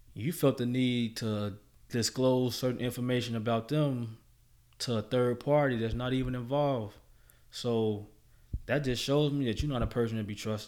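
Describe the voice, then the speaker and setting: A man with an American accent in a normal speaking voice, fairly even intonation, on a very clean recording with a silent background. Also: medium pitch for a man, moderate pace. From Chicago South Side. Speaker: guest sharing life story. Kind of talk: casual interview.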